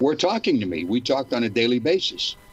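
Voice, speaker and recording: A man speaks with music playing in the background. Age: 80s+. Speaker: author and former church member. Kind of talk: interview.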